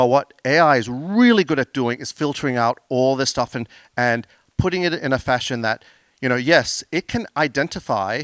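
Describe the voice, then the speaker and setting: On a very clean recording with a silent background and a dry, close sound with no echo, a man with an Australian accent speaks at medium pitch and a moderate pace with ordinary pitch variation. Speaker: business owner presenting on AI. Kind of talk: conference talk with Q&A.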